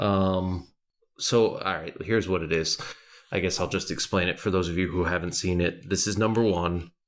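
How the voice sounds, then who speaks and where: This man's voice is very deep and low, moving at a moderate pace. The recording is very clean, with a silent background. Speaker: podcast co-host. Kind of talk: casual chat. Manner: kept quiet to not wake baby; animated.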